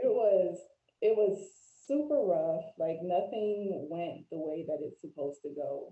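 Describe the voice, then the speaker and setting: A woman with a plain, everyday voice talks at a fairly slow pace and medium pitch. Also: lively intonation. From Florida, US. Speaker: life coach and mental health advocate. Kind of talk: interview conversation.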